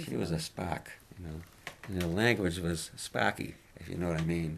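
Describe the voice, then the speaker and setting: In a Boston accent, the speaker goes at a moderate pace with ordinary pitch variation and big swings in loudness. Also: man, very deep, low pitch for a man. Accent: Boston-area New England. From Massachusetts. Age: 80s+. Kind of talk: interview answer.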